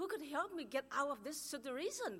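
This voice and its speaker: In a strong Chinese accent, a woman speaks at a high pitch with lively intonation. Her tone sounds nervous and excited. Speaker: churchgoer giving testimony. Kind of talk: testimony. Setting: church. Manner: nervous, excited.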